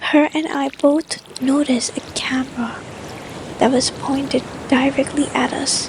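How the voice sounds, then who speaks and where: A soft-spoken woman is whispering amid noticeable background noise. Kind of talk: scary story reading. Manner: whispered, soft.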